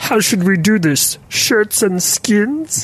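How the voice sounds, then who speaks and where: A put-on character voice with a fairly high pitch moves along at a very slow pace. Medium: actual play. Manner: polite, formal, friendly.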